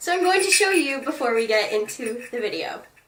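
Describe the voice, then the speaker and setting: With music in the background, a woman speaks in a raised, projected voice at a high pitch and a moderate pace. Her tone is animated and her intonation lively. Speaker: video blogger. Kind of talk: casual chat.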